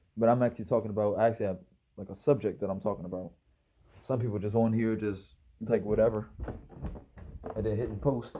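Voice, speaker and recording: In a Maryland accent, a man with a fairly low pitch speaks at a very fast pace broken by long, frequent pauses. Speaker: YouTuber. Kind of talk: casual vlog monologue. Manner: casual, rambling with repetitions.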